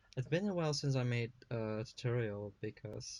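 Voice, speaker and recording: A man is speaking. His voice is somewhat breathy. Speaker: digital artist. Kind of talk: casual drawing tutorial narration.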